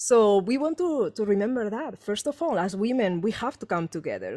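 With a Spanish accent, the speaker uses a dark, mellow tone and lively intonation, the sound dry and close with no echo against a quiet background. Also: woman. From Spain. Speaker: energy healer and author. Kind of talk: casual chat. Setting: video call. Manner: animated.

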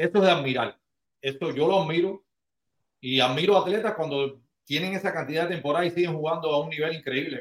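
This man talks very fast. His fairly high voice has ordinary pitch variation. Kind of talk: casual chat.

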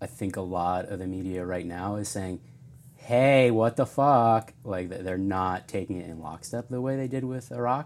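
A man with an American accent speaks at a moderate pace. His pitch is fairly low. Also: ordinary pitch variation. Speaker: friend of the host. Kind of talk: casual chat. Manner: soft-spoken.

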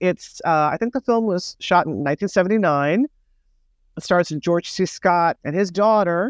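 A woman with a plain, everyday voice speaks at a moderate pace and a fairly low pitch, recorded very cleanly against a silent background with a dry, close sound and no echo. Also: ordinary pitch variation. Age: 50s. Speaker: sex worker advocate. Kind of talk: interview.

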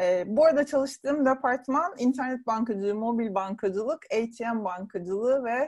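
A woman has a plain, everyday voice with fairly high pitch. Her intonation is lively and her pace moderate. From Turkey, Burdur. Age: 40s. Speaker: travel writer and blogger. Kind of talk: casual interview.

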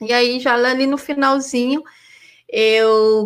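This woman's voice sits at a high pitch. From Brazil, Goiás and Rio Grande do Norte. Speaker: PhD student and former university lecturer. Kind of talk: casual interview.

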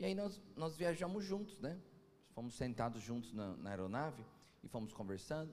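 An animated man at a medium pitch, his voice making very wide pitch swings amid noticeable background noise and audible room echo. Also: moderate pace. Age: 40s. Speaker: pastor. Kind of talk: sermon.

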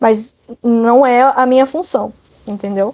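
She speaks in a high voice with ordinary pitch variation. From Brazil, São Paulo. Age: 20s. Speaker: digital marketer. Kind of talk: interview.

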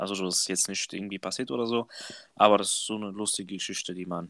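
This man has a bright, sharp tone and a fairly low pitch. His intonation is fairly even, and the recording is very clean with a silent background. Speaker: trainee apprentice, podcast co-host. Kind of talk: casual chat.

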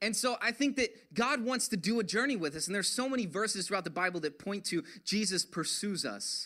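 A man speaks fairly quickly in a high, bright, sharp voice that is raised and projected, with lively intonation. The recording is very clean with a silent background. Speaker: pastor. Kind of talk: sermon.

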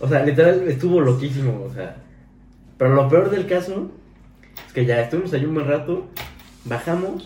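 With a Mexican accent, the speaker has a dark, mellow, somewhat breathy tone, a moderate pace, ordinary pitch variation and long, frequent pauses, heard with audible room echo. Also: man, fairly high pitch for a man. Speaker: podcast co-host. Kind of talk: casual chat.

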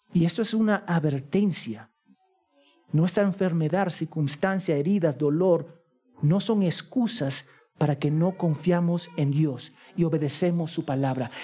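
Music plays in the background as a man speaks at a fairly slow pace in a high pitch for a man. His loudness stays very even, with ordinary pitch variation. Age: 40s. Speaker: pastor. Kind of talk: sermon.

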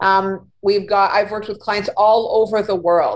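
A woman speaks at a moderate pace with a medium pitch. She has a plain, everyday voice. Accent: Canadian. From Winnipeg, Manitoba, Canada. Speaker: career coach and freelance writer. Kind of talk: casual interview.

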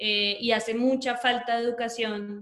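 The woman's fairly high-pitched voice stays monotone, with flat intonation. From Colombia. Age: young. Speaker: graphic designer and activist. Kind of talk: casual chat.

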